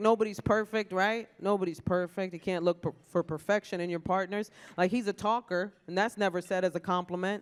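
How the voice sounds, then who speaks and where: In an animated tone, a woman talks at a fairly quick pace with hardly any pauses and ordinary pitch variation. The sound is dry and close with no echo. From New York, South Bronx. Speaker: comedian hosting an awards ceremony. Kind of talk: stand-up. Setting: stage with audience at a luncheon.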